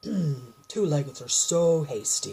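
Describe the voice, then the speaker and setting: A rumbling, put-on character voice. The pitch sits in the middle range. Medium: read story. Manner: grumbling, slow, hesitant "um, hmm".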